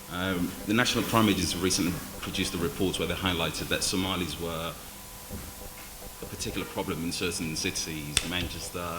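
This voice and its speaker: Over noticeable background noise and audible room echo, a man with a very deep, low pitch talks at a fairly quick pace with fairly even intonation. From Wales, Cardiff. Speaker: panelist. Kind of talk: panel discussion.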